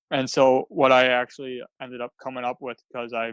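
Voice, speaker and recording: In a Wisconsin accent, the speaker goes at a moderate pace, with a dry, close sound, no echo and a quiet background. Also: man. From US Midwest, Wisconsin. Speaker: author and speaker. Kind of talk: podcast interview.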